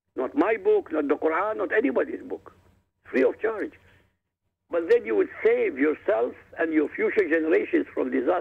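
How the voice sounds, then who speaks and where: At a moderate pace, a man speaks with an Arabic accent. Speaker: author. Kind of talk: radio interview.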